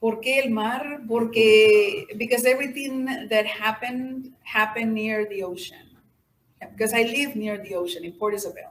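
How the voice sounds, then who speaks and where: A woman's fairly high voice in a Mexican accent, with big swings in loudness and audible room echo. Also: ordinary pitch variation, moderate pace. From Mexico / Rio Grande Valley, Texas. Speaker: poet. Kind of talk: audience Q&A. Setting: stage with audience.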